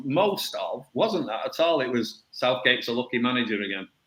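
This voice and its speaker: The speaker has a Mancunian accent and keeps a moderate pace. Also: man. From northern England, Salford. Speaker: football coach and podcast panelist. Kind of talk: casual chat.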